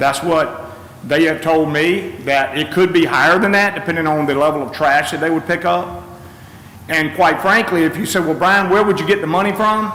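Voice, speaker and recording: Over noticeable background noise and audible room echo, a man with an American accent speaks at a fairly high pitch. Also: ordinary pitch variation. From North Carolina, Gates County. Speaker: public commenter at county meeting. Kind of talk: public comment at government meeting. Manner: fast.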